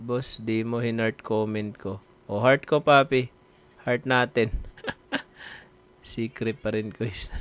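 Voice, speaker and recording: A man with a Visayan accent speaks very slowly, with long, frequent pauses and fairly even intonation. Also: medium pitch for a man. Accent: Bisaya. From Visayas, Philippines. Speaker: live streamer. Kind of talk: casual live stream chat. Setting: live stream.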